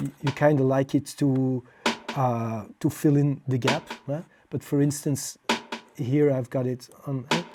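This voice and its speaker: Fairly slow speech in a non-native accent, with music in the background. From Belgium. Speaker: music producer. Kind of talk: tutorial. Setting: home studio. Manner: halting, many fillers.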